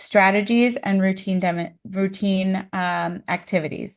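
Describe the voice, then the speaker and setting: With a quiet background, a woman speaks very slowly in a flat monotone at a medium pitch. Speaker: early intervention trainer. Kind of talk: training presentation.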